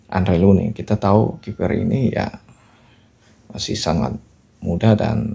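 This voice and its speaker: A man speaks with vocal fry at a fairly slow pace. His pitch varies in an ordinary way. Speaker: football commentary youtuber. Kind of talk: match recap commentary. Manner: hesitant, frequent filler 'ya'.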